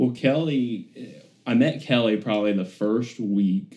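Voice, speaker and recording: Delivered with an Alabama accent, the voice has a dark, mellow tone and ordinary pitch variation. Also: man. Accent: US South (Alabama). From Birmingham, Alabama. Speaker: former professional baseball player. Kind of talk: personal testimony interview.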